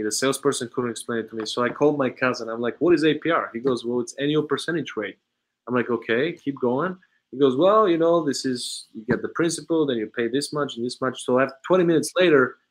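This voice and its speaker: Over a quiet background, a man talks at a very fast pace in an Eastern European accent. His pitch is fairly high and varies in an ordinary way. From Bulgaria. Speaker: automotive sales trainer and consultant. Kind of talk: interview conversation.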